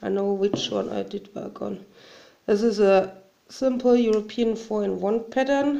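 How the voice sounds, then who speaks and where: This woman talks at a fairly slow pace. She has a German accent. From Germany. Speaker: hobby crafter. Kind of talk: tutorial. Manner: halting.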